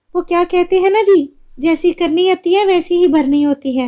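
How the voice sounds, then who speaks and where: Putting on a squeaky character voice, a woman speaks at an extremely high pitch and a moderate pace, with very even loudness and ordinary pitch variation. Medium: cartoon.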